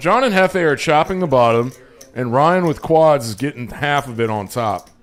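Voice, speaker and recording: With music playing in the background, a man with a fairly high pitch talks at a moderate pace and with lively intonation. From Flemish-speaking Belgium. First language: Flemish. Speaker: poker livestream commentator. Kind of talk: live commentary. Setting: small closet booth. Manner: animated.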